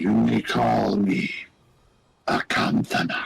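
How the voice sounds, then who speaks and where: A raspy, put-on character voice at a very slow pace. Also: man, very deep, low pitch for a man. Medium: actual play. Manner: slow, formal, commanding.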